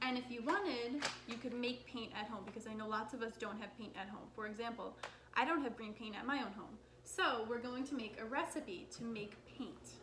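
Against noticeable background noise, a woman talks at a fairly quick pace. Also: ordinary pitch variation. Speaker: craft teacher. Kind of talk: tutorial. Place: kitchen. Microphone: camera far.

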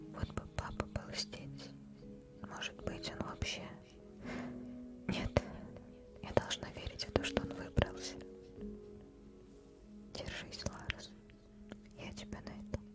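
Whispering at a very slow pace with long, frequent pauses, a woman's voice swings widely in loudness while music plays in the background. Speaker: ASMR gaming streamer. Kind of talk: gameplay commentary, playing a game. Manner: whispered, soft close-mic. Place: home room.

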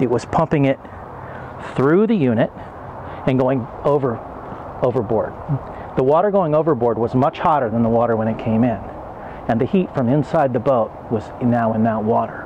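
Noticeable background noise runs under this clip. A man talks at a fairly quick pace with ordinary pitch variation. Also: dry sound with no echo. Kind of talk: tutorial. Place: garden. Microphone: lapel.

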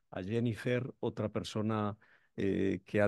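The sound is dry with no echo as a man speaks at a fairly slow pace in a monotone, flat intonation. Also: quiet background. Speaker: event moderator. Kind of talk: event moderation. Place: hall. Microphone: podium.

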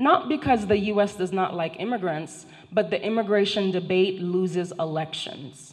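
A woman speaks at a moderate pace with a Haitian accent. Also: ordinary pitch variation. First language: Haitian Creole. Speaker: professor. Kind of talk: lecture. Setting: stage with audience. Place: hall. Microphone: handheld.

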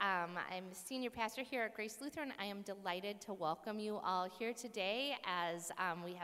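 A woman's voice at a moderate pace. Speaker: pastor welcoming an audience. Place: church. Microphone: podium.

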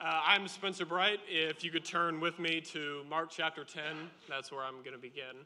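This man has a bright, sharp tone and a fairly high pitch, talking at a moderate pace with fairly even intonation and hardly any pauses. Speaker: lay speaker giving communion message; speaker. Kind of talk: sermon. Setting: church. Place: church.

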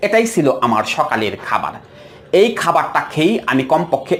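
There is noticeable background noise. Over it, a man with a fairly high pitch speaks with very wide pitch swings. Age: 40s. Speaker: counselor. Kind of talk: health advice monologue.

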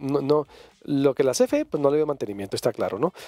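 The background is quiet. A man talks at a fairly quick pace with a dark, mellow tone. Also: dry sound with no echo. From Sonora, Mexico (grew up in Cananea); Sonora, Mexico. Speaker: radio/TV talk show host; radio, TV talk show host. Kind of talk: live talk show, reading viewer comments. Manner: halting, frequent repetitions. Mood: conversational, anecdotal. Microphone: headset.

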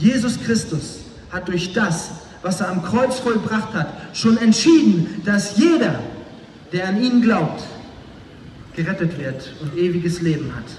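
A man with a high pitch and lively intonation, very slow pace, long frequent pauses, light background noise and audible room echo. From northern Germany, Flensburg. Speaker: former drug dealer, evangelist. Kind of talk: testimony. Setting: outdoors, street evangelism. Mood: earnest, serious. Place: stage.

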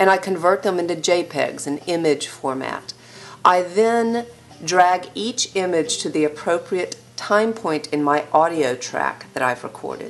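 Delivered at a fairly slow pace, it is an ordinary speaking voice with ordinary pitch variation. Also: woman, fairly low pitch for a woman. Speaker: teacher. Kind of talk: lecture. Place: home room.

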